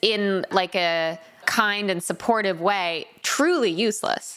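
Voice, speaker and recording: Noticeable background noise runs beneath a woman speaking with an American accent. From Connecticut. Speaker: podcast host. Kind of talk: casual chat. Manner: animated.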